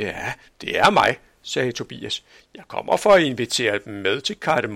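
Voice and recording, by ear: Someone is reading aloud in a natural voice. The delivery stays natural throughout.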